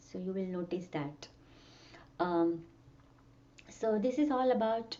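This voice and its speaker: A medium-pitched woman's voice with a dark, mellow tone and lively intonation, fairly slow, with audible room echo. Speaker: music teacher and sound healer. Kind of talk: workshop lecture. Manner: halting.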